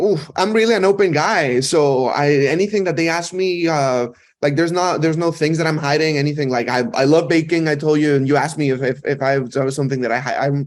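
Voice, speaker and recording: A fairly high-pitched man with a Mexican accent, very fast and with hardly any pauses. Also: ordinary pitch variation. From Mexico. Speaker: actor. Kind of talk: interview chat. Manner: halting, many repeated words.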